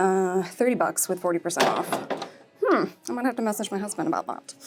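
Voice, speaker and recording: Music plays in the background as a woman of medium pitch speaks at a fairly quick pace with very wide pitch swings. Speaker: lifestyle vlogger. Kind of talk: casual shopping vlog. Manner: fast; animated.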